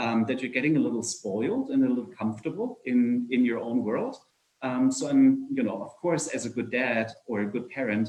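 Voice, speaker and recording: A man speaks with a German accent. He keeps a moderate pace. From Germany (Nuremberg). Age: 50s. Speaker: entrepreneur. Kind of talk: fireside chat talk. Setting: video call. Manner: hesitant, many fillers.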